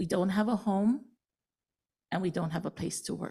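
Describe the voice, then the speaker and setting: Somewhat breathy and dark, mellow in tone, a woman speaks at medium pitch with a Hawaiian accent. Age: 60s. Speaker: public testifier, fire survivor. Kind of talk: public testimony. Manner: halting, many fillers.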